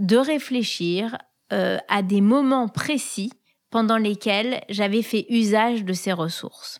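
Very slow and fairly high-pitched, a woman's voice comes through a very clean recording with a silent background. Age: 40s. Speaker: podcast host. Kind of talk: casual chat.

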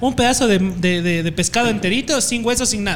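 There is noticeable background noise behind a man whose voice sits high in pitch. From Ecuador, Puyo (Amazon region). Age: 20s. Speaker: video editor and content creator. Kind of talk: casual chat. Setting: in a pub.

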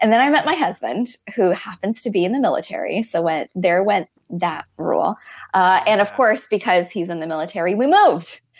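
A woman with an American accent, an ordinary speaking voice at medium pitch, lively intonation and a fairly quick pace. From Florida. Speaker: coaching company representative. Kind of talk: interview.

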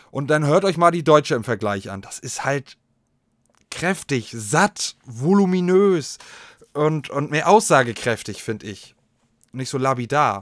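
A man with a fairly high pitch talks at a fairly slow pace, leaving long, frequent pauses. His tone is animated, with lively intonation and big swings in loudness. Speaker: podcast host. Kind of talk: casual solo chat.

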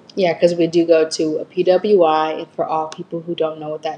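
Noticeable background noise fills the clip. Over it comes a woman with an American accent. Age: 20s. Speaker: college student podcast co-host. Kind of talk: casual chat.

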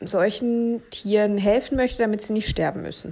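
Pitched in the medium range, the woman speaks in a dark, mellow tone. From Berlin, Germany. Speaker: cattle veterinarian and podcast host. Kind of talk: casual monologue. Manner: hesitant with many fillers.

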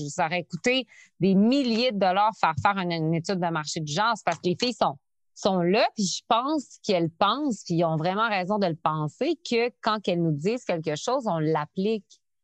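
A woman talks fairly quickly at a medium pitch, her intonation lively. The sound is dry and close with no echo, and the background is quiet. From Quebec City. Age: 30s. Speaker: entrepreneur. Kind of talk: interview. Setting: remote call.

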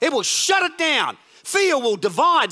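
Raised and projected, this man's bright, sharp voice carries an animated tone and lively intonation at a fairly slow pace. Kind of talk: sermon, preacher in full flow. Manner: animated, exhortative, rallying the congregation with call-and-response; urgent, emphatic, punchy repeated phrases.

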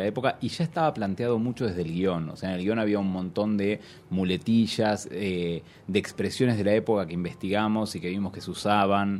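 A man with a very deep, low voice speaks at a moderate pace with ordinary pitch variation. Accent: Argentine. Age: 30s. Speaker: film director. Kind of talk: interview. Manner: halting, many repetitions.

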